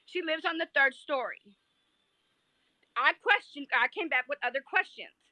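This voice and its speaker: This woman's voice is high-pitched, raised and projected, with a bright, sharp tone and lively intonation. She talks at a fairly quick pace, and the sound is dry and close with no echo. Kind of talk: heated debate. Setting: livestream. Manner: loud; animated.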